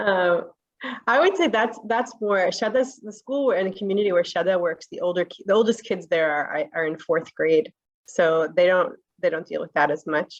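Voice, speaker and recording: A woman with an American accent has a plain, everyday voice at a medium pitch. She moves at a moderate pace with lively intonation. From New Jersey, US. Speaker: communications director. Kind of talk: panel presentation.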